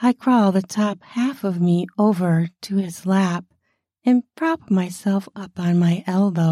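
Ordinary pitch variation and a quiet background, reading aloud in a natural voice.

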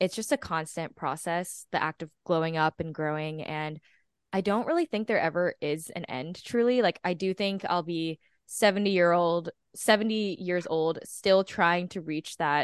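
A plain, everyday voice at a moderate pace with ordinary pitch variation, dry and close with no echo, against a quiet background. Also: woman. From Texas. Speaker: podcast co-host. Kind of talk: casual interview chat. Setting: video call.

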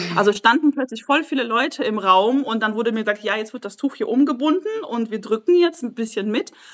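A woman's fairly high voice with lively intonation and hardly any pauses, over noticeable background noise. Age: 20s. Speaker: mother sharing her experience. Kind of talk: casual interview chat.

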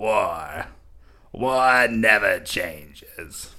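Putting on a raspy character voice at medium pitch, a man delivers his lines in a sinister, dramatic tone.

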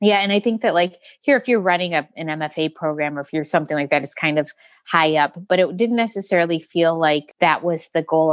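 Speaking at a fairly quick pace, a woman uses a plain, everyday voice with a fairly low pitch. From Metro Detroit, Michigan. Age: 40s. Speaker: muralist and children's book artist. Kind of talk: interview conversation.

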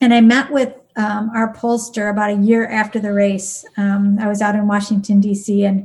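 With an Upper Midwest accent, a woman talks at a moderate pace with hardly any pauses, her medium-pitched voice somewhat breathy and her intonation monotone and flat. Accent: Upper Midwest American. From southern Wisconsin. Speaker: nurse and politician. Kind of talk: podcast interview.

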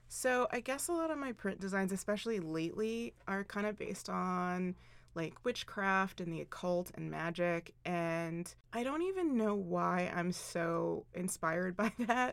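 A woman with an American accent has an ordinary speaking voice, talking at a fairly slow pace in a medium pitch with ordinary pitch variation. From Philadelphia, US East Coast. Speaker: fashion designer, clothing brand owner. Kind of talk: interview. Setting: studio.

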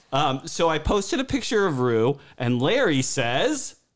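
On a very clean recording with a silent background, a man speaks at a fairly high pitch and fairly slow pace with big pitch swings.

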